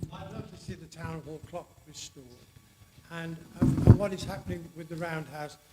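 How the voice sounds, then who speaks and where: Over noticeable background noise, a man with a fairly high pitch speaks at a moderate pace, his intonation fairly even but his loudness swinging widely. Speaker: member of the public asking questions. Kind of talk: public meeting question. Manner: halting.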